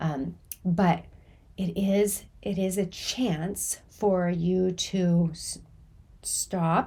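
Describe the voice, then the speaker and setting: Her voice is fairly low, somewhat breathy and dark, mellow in tone, and she is clearly a woman speaking. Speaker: chronic pain coach. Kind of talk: podcast talk.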